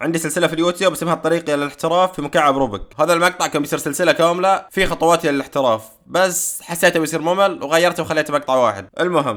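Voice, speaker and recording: A man's fairly high voice at a very fast pace, with hardly any pauses and ordinary pitch variation. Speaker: YouTuber doing a Rubik's cube challenge. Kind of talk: casual vlog narration.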